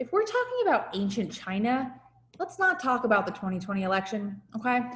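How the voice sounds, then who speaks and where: Against noticeable background noise and audible room echo, a woman with a slight New Jersey accent speaks in a high pitch with an animated tone. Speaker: high school teacher. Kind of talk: lecture. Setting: video call.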